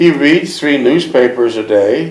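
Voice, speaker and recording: A man talks at a fairly slow pace with ordinary pitch variation. Noticeable background noise runs under his voice. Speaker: interviewer. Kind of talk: interview questions.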